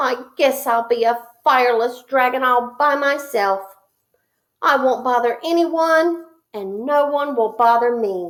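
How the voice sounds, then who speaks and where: Putting on a character voice, a woman talks at a high pitch and a fairly slow pace. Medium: read story. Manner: gentle, meek.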